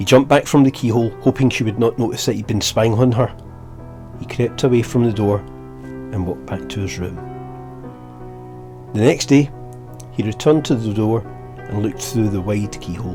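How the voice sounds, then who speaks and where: A man at a medium pitch with a Scottish accent, very wide pitch swings, a moderate pace, long, frequent pauses and music in the background. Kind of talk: bedtime story narration. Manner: relaxing.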